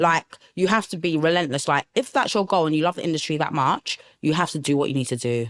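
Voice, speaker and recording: Lively intonation drives a very fast delivery in a South East London accent, recorded very clean with a silent background and a dry, close sound with no echo. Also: woman, very deep, low pitch for a woman. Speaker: production manager. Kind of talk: interview conversation. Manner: casual, uses many fillers.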